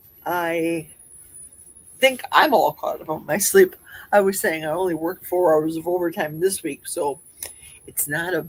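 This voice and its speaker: With a Midwestern accent, a woman speaks at a fairly low pitch. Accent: Midwest. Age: 60s. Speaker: livestream host. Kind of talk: casual livestream chat. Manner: chatty.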